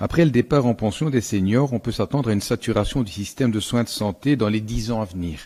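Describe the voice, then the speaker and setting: A dark, mellow tone with ordinary pitch variation. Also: man. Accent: Belgian. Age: 70s. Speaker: general practitioner and council member. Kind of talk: council speech. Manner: formal.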